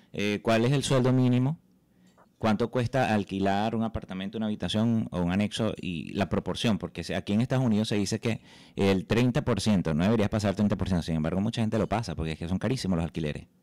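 A man with a Venezuelan accent and a fairly low pitch speaks at a fairly quick pace with ordinary pitch variation, in a very clean recording with a silent background and a dry, close sound with no echo. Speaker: journalist, podcast host. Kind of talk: interview.

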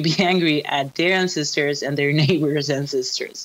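With a Spanish accent, a woman speaks in a very deep, low pitch with ordinary pitch variation. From Chile. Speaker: archaeologist. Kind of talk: casual interview chat. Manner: halting, many fillers and restarts.

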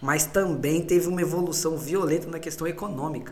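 Heard with audible room echo, a man speaks at a moderate pace in a high pitch. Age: 30s. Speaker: musician, photographer and accountant. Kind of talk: casual chat.

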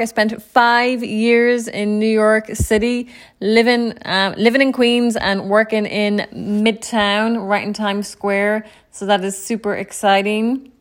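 A woman with a Clare accent speaks slowly-ish, at a fairly slow pace, with a fairly high pitch and fairly even intonation. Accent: Irish (western, Clare). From Ireland, County Clare. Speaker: podcast host, entrepreneur. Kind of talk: solo podcast monologue.

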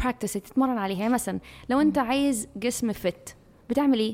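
With an Egyptian accent, a woman speaks at a moderate pace in a fairly high pitch with ordinary pitch variation. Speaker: podcast co-host. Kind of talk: casual chat.

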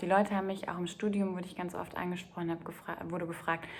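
A woman with a fairly low voice talks over noticeable background noise. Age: 30s. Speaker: podcaster and spiritual coach. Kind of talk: solo podcast monologue.

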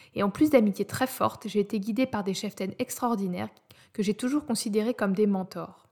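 A woman's fairly quick speech has a somewhat breathy quality. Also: medium pitch for a woman, ordinary pitch variation. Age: 30s. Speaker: podcast host, audio content specialist. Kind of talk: scripted monologue introducing podcast.

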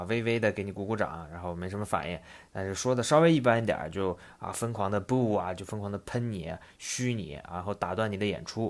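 In a very clean recording with a silent background, a man with a fairly low pitch speaks at a fairly quick pace with ordinary pitch variation. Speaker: podcast host. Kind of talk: casual podcast monologue explaining and retelling a comedy anecdote. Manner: animated, conversational storyteller, lively with filler words.

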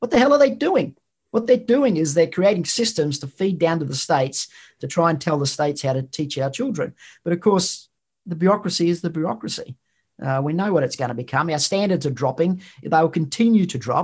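Using very wide pitch swings, a man with an Australian accent talks at a fairly quick pace in a high pitch. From Queensland, Australia. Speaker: think tank founder. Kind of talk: interview.

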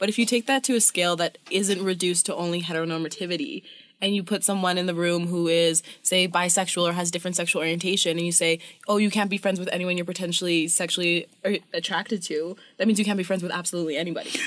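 Very fast speech from a woman with a fairly low pitch and a Canadian accent. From Canadian prairies. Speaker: podcast guest. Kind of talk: casual chat.

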